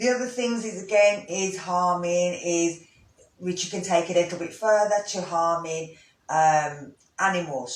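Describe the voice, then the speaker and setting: A man's high voice with lively intonation and a Brummie accent, with audible room echo. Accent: Brummie accent, moderate. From Birmingham, English Midlands. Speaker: yoga teacher. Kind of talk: instructional talk. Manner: casual, hesitant with fillers.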